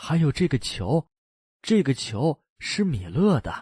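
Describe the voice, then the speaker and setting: A man's put-on character voice, fairly high and fairly slow, with very wide pitch swings, over a quiet background. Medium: read story. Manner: warm, affectionate.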